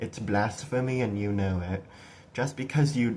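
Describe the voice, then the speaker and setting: A man talks with an American accent at a fairly low pitch with ordinary pitch variation. His voice is somewhat breathy and his pace moderate. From USA. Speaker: political commentator (amateur). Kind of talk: political rant. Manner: animated; halting, repeating words.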